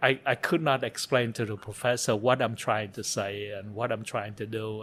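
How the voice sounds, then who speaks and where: A man of medium pitch speaks with a Vietnamese accent and fairly even intonation. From Vietnam (Saigon). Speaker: interview guest, refugee turned photographer. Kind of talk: interview, life story. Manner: halting, with many fillers and repetitions.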